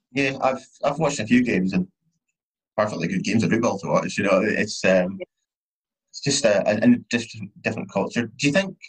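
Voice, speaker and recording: A man with a Scottish accent speaks at a fairly quick pace, medium in pitch and somewhat breathy. His pitch swings very widely, and he takes long, frequent pauses. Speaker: podcast host. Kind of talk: casual chat.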